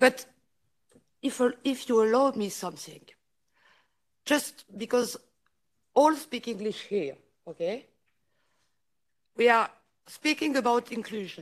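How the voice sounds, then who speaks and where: Speaking fairly slowly with long, frequent pauses, a woman uses a high pitch and a French accent. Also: ordinary pitch variation. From France. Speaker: politician. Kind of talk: conference speech. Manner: halting.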